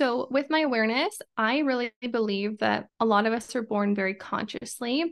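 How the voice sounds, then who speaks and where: Using an ordinary speaking voice with an American accent, a woman speaks at a fairly high pitch and a moderate pace with ordinary pitch variation, very even loudness and hardly any pauses. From Idaho, US. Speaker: entrepreneur and women's mentor, podcaster. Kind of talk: casual interview conversation.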